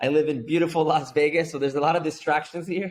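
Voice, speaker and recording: Speaking at a very fast clip, a man talks with a Spanish accent. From Mexico, Guadalajara. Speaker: entrepreneur. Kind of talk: interview. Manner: animated.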